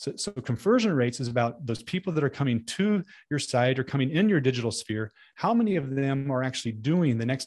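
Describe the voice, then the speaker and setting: A man at medium pitch with lively intonation against a quiet background. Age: 50s. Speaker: podcast host and ministry consultant. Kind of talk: keynote talk. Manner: halting, with many repeated words.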